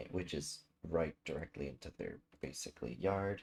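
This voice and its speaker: A soft-spoken man talks at a fairly slow pace. His voice is somewhat breathy. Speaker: gaming streamer. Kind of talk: casual chat.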